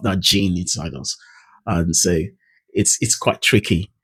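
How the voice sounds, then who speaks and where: A somewhat breathy man talks at a moderate pace with a dry, close sound and no echo. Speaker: English pronunciation coach. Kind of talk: tutorial. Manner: hesitant, with fillers.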